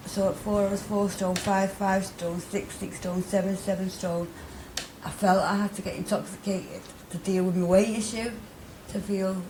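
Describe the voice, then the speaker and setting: Someone speaks with a Mancunian accent in a monotone, flat delivery. Room echo and noticeable background noise are both present. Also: woman, medium pitch for a woman, moderate pace. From Manchester, northern England (Middleton). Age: 30s. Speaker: interviewee, recovering addict. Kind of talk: interview testimony. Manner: hesitant, many fillers and repetitions.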